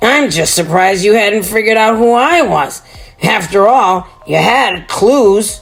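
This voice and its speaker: A raspy put-on character voice goes at a moderate pace with faint music in the background. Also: woman, medium pitch for a woman. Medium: read story. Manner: cheerful, calm.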